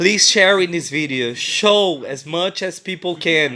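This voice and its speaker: A man talks with a non-native accent. His pitch varies in an ordinary way. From Brazil. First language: Portuguese. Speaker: vlogger. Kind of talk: personal testimony. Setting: hotel room. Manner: halting.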